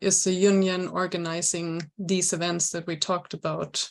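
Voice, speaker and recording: Her pace moderate, a woman talks at a medium pitch. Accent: German. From Germany. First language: German. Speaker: programme coordinator moderating a webinar. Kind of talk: webinar moderation.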